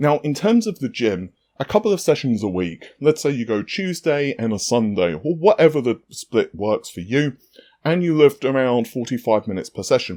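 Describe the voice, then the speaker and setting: A man's dark, mellow, medium-pitched voice in a London accent, fairly quick, with very wide pitch swings, a dry, close sound with no echo and a very clean recording with a silent background. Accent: British, London. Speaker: fitness youtuber. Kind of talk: casual tutorial. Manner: casual, conversational.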